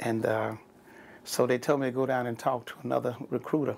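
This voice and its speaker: A man with an American accent talks at a fairly quick pace with fairly even intonation. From Texas, San Antonio. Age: 60s. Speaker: navy veteran. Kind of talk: oral history interview. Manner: halting.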